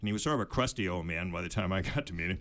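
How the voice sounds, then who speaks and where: Recorded very cleanly against a silent background, a man with an American accent speaks at a fairly low pitch. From US Northeast, Maine summers. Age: 70s. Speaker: author and sailor. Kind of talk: casual chat. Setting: studio.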